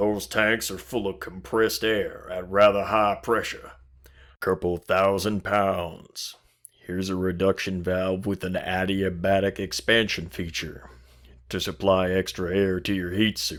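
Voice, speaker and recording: A man puts on a character voice with a very deep, low pitch. His intonation is monotone and flat, on a very clean recording with a silent background. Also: moderate pace. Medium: read story. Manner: matter-of-fact.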